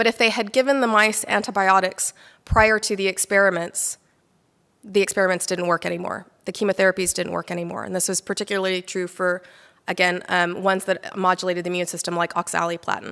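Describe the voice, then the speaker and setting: In an American accent, a woman at medium pitch talks at a very fast pace with a bright, sharp tone and fairly even intonation, on a very clean recording with a silent background. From United States. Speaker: immunologist and microbiome researcher. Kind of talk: lecture. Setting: talk to a small live audience.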